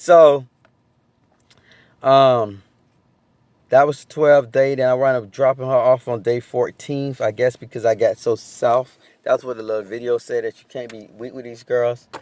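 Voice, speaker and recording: A man speaks at a medium pitch with fairly even intonation, his loudness swinging widely. Long pauses come often, and the sound is dry and close with no echo. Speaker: vlogger sharing sobriety update. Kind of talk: personal vlog testimony. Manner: fast, sometimes mumbling.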